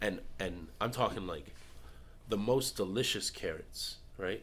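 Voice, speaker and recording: Lively in intonation, a man speaks at a fairly slow pace. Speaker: guest. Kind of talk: casual chat.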